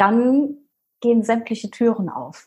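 The woman's voice is somewhat breathy. Her delivery is rather slow. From Palatinate, Germany. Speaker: fitness coach. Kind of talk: personal story interview. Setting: video call. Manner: animated.

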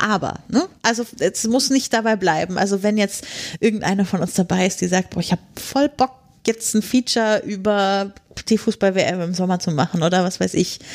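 The woman has a normal speaking voice at medium pitch. She keeps a moderate pace and ordinary pitch variation. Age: 30s. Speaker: podcaster. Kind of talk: casual interview. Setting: podcast conference.

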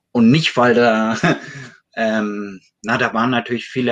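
A man talks at a medium pitch. It is a normal speaking voice. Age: 50s. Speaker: addiction self-help association board member. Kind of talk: casual chat.

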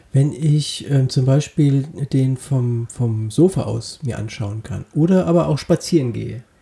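Somewhat breathy and dark, mellow in tone, a man speaks at a medium pitch and a fairly slow pace. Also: ordinary pitch variation. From Wiesbaden, Hesse. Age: 30s. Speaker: comedy podcast co-host. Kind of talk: casual comedic chat.

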